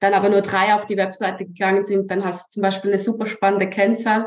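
A woman speaks at a medium pitch. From Switzerland. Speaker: social media strategist. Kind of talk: interview.

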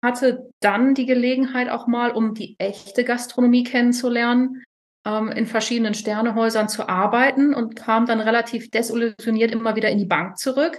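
With a slight northern German accent, a woman speaks at a moderate pace and a fairly high pitch in monotone, flat intonation. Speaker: chef and retreat owner. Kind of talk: interview.

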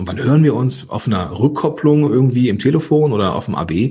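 Speaking with lively intonation at a moderate pace, a man has a medium-pitched, somewhat breathy voice. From Ruhr area / Rhineland, Germany. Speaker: podcast coach. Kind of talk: interview. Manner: animated.

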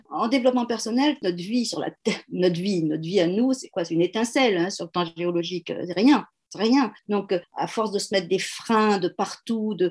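An unremarkable speaking voice from a woman, medium in pitch with ordinary pitch variation, at a moderate pace. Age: 60s. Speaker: HR consultant and coach. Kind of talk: interview.

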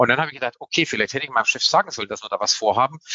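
A man at a very fast pace. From Swabia, southwestern Germany. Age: 50s. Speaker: public relations head. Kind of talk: panel discussion. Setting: live conference.

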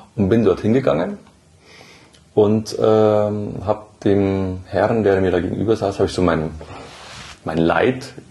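With noticeable background noise behind him, a man with a fairly low voice speaks fairly slowly and fairly evenly, pausing long and often. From Upper Bavaria, Germany. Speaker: emergency department nurse. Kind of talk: interview conversation. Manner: hesitant with many fillers.

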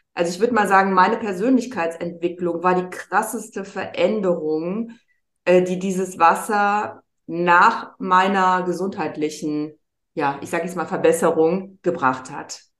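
A woman's normal speaking voice at a fairly slow pace, with big swings in loudness. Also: medium pitch for a woman, ordinary pitch variation. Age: 50s. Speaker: wellbeing mentor, former model. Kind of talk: casual chat.

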